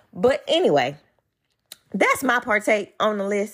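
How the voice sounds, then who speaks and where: A woman is speaking. Her pace is fairly slow. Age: 40s. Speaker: podcast host. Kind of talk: casual solo monologue. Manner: animated.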